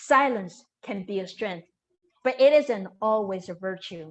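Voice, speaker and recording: A woman speaks very slowly at a medium pitch with ordinary pitch variation. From Taiwan. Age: 50s. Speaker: storyteller. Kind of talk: storytelling performance. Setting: video call.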